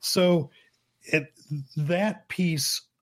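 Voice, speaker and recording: A somewhat breathy male voice on a very clean recording against a silent background. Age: 50s. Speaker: photographer and former professor. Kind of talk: interview.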